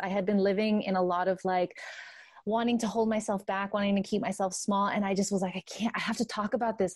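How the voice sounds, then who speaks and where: A woman with an American accent talks at a fairly quick pace in a somewhat breathy, medium-pitched voice on a very clean recording with a silent background. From US West Coast (Santa Ana, Orange County, California). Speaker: holistic pleasure coach. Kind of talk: casual interview chat.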